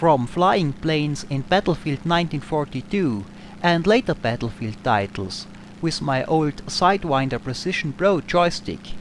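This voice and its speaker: A man's fairly high voice in an Austrian accent, moderate in pace and lively in intonation, with noticeable background noise. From Austria, Tyrol. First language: German. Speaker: gaming YouTuber. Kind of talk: Q&A over gameplay.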